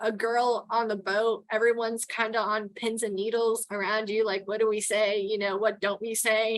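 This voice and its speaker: A woman with a Texan accent speaks at a fairly slow pace in a very clean recording with a silent background. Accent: Texan accent, formerly New York. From New York (Queens). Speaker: towboat pilot and port captain. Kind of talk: interview conversation. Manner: casual with many fillers.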